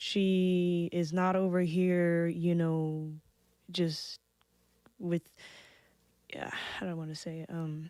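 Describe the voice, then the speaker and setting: A soft-spoken woman with a dark, mellow tone and a fairly low pitch speaks in a monotone, flat way. Her pace is very slow, broken by long, frequent pauses. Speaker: podcast guest. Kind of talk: casual chat. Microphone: too quiet.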